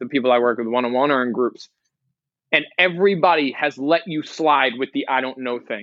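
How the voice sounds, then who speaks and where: A man talks in a normal speaking voice at a fairly quick pace. His pitch is fairly high, with ordinary pitch variation. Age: 20s. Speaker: life coach. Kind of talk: podcast interview.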